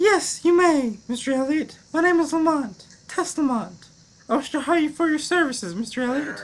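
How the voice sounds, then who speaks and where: Using a put-on character voice, a woman speaks at a high pitch with lively intonation. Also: moderate pace. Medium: audio drama. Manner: breathy, hesitant, repeats his name.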